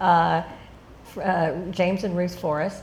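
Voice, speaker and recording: A woman speaks with a Texan accent at a fairly low pitch. Her intonation stays fairly even, and the room echo is audible. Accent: Texan American English. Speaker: interviewee, adoptee. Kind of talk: interview.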